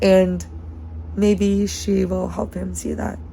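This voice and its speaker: Over noticeable background noise and audible room echo, a woman speaks in a very deep, low voice with ordinary pitch variation. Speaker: vlogger. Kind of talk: casual personal vlog monologue. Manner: loud.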